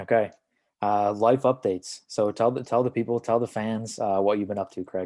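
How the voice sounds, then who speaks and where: The voice has a dark, mellow tone and a monotone, flat intonation at a moderate pace. The sound is dry and close with no echo, over a quiet background. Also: man, fairly low pitch for a man. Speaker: podcast co-host, pharmacy student. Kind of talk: casual chat.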